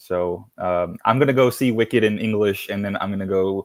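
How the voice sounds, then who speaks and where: The recording is very clean, with a silent background. A man speaks at a fairly quick pace and fairly low pitch with fairly even intonation. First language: Spanish. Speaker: guest on Oz fan podcast. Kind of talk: casual chat. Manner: halting, many fillers.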